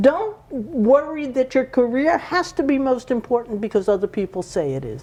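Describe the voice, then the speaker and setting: A woman with a high-pitched voice speaks at a moderate pace over noticeable background noise. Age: 80s+. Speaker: panelist. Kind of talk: panel discussion.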